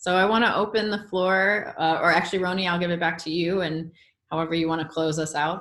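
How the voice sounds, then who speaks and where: The delivery moves at a very fast pace. Intonation stays fairly even. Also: woman, fairly low pitch for a woman. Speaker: meditation and yoga teacher. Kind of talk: webinar talk.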